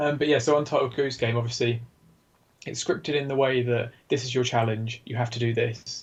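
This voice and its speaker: Fairly quick and somewhat breathy, a man speaks at medium pitch with an English accent and fairly even intonation. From UK. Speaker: game developer. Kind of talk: casual chat.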